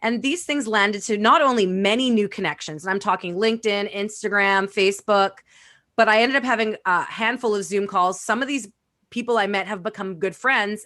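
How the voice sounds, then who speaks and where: Loud and animated, a woman speaks at a fairly quick pace and medium pitch in a bright, sharp tone, with ordinary pitch variation against a quiet background. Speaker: networking and social media expert. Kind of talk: casual interview.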